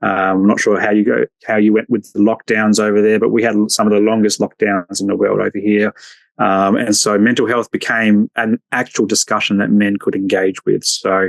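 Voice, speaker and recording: With an Australian accent, a man speaks at a moderate pace and a fairly low pitch, with monotone, flat intonation and very even loudness. The sound is dry and close, with no echo. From Australia, Adelaide northern suburbs. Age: 40s. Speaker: social worker and men's mental health advocate. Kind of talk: podcast interview.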